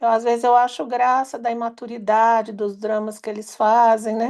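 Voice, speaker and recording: The pace is fairly slow. A woman talks with a high pitch. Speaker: workshop participant. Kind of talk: group sharing. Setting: online live session.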